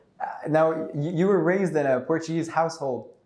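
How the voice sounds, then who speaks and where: Audible room echo fills the space. Within it, a man talks at a fairly high pitch. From Montreal, Quebec. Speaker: podcast host. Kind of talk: interview.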